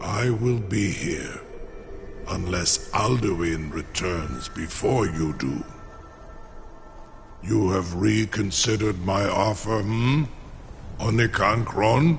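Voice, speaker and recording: In a put-on character voice with a fairly low pitch, a man speaks at a very slow pace with long, frequent pauses over clear background noise. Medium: video game. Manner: slow, formal, proud.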